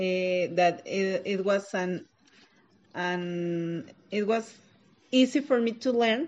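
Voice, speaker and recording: A woman speaks in a Mexican accent at a very slow pace. Her pauses are long and frequent. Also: medium pitch for a woman, ordinary pitch variation. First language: Spanish. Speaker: preschool English teacher. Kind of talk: interview answers. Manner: halting, searching for words.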